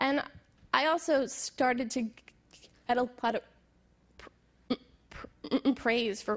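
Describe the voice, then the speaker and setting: A woman's high-pitched voice over a quiet background. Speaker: business founder and speaker. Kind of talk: talk to an audience. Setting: stage with audience. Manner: halting.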